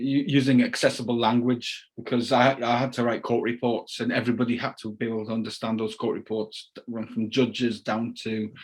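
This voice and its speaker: Talking at a fairly quick pace, a man has a Cumbrian accent. His medium pitch carries a monotone, flat intonation. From Carlisle, England. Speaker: crime novelist. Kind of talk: interview answer.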